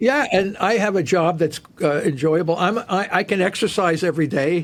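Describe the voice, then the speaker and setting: A man speaks at a moderate pace in a high voice, his loudness very even and his pitch varying in an ordinary way. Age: 70s. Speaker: cancer researcher and professor. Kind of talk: interview. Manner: halting, with many fillers and repetitions.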